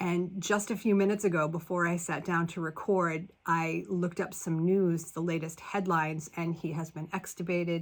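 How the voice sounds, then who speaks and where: A woman speaks at a fairly low pitch. Her intonation is monotone and flat. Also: moderate pace, hardly any pauses. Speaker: spiritual self-help podcaster. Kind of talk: casual monologue.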